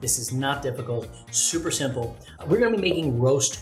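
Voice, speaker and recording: Over background music, a man talks at a fairly quick pace and medium pitch in an upbeat tone. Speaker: voice actor. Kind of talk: casual cooking show talk to camera. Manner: upbeat, casual.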